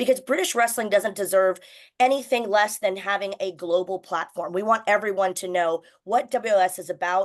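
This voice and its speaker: A woman speaks in a normal speaking voice with an American accent and medium pitch. Her pace is moderate, her pitch variation ordinary, and the background quiet. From United States. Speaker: wrestling announcer and broadcaster. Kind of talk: radio interview.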